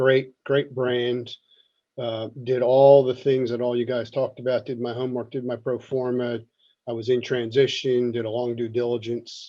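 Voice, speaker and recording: This man talks at a moderate speed. He keeps a monotone, flat intonation. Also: medium pitch for a man. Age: 60s. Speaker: audience member, franchise owner. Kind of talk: panel discussion. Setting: video call from office.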